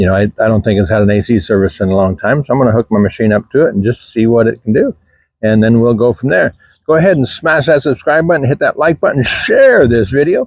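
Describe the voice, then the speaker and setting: With a dry, close sound and no echo, a man at medium pitch speaks very fast, his intonation lively and loudness very even. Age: 60s. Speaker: DIY mechanic. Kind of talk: tutorial. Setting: outdoors. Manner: casual, halting with fillers.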